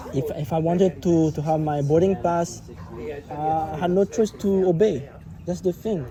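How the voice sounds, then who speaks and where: The pace is moderate, and background noise is noticeable. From Quebec, Montreal. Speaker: travel vlogger. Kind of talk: casual chat. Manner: halting.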